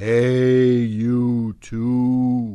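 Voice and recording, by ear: A booming, put-on character voice sits at a low-to-middle pitch and stays monotone with flat intonation.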